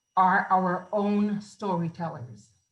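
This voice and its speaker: A woman speaks at a very slow pace with ordinary pitch variation. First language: Garifuna. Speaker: film festival producer and writer. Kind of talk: interview. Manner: halting.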